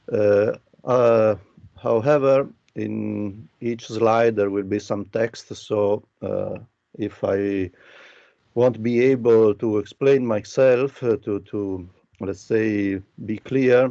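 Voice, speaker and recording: Speaking at a very slow pace, a man with an Italian accent uses a fairly low pitch, a dark, mellow tone and fairly even intonation. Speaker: architecture professor. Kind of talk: lecture. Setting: video call. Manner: halting, many fillers.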